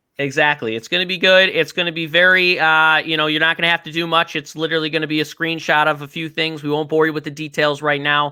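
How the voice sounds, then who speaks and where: With a Chicago accent, a man rattles along at a very fast pace with hardly any pauses, his fairly high voice monotone and flat. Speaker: sports betting podcast host. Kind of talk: casual chat. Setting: live stream.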